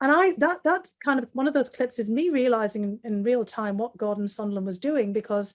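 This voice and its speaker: A fairly high-pitched woman with a North East English accent on a very clean recording with a silent background. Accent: broad North East English. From North East England. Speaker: foreign affairs specialist. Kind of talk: interview answer.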